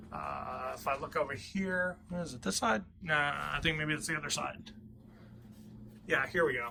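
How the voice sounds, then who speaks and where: Mumbling in a bright, sharp tone, a man with a fairly high pitch speaks with lively intonation. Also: moderate pace. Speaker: hobbyist woodworker and motorcycle vlogger. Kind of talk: casual vlog. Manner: halting, stuttering.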